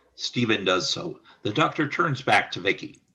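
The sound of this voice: Big pitch swings run through a bright, sharp tone with a slightly husky edge at a moderate pace. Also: man, fairly low pitch for a man.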